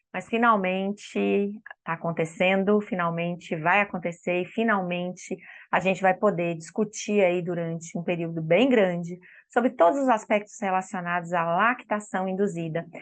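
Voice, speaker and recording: A woman's medium-pitched, fairly even delivery at a moderate pace, a normal speaking voice. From Espírito Santo, Brazil. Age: 40s. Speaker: speech therapist and lactation consultant. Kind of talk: online course lecture. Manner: warm, conversational.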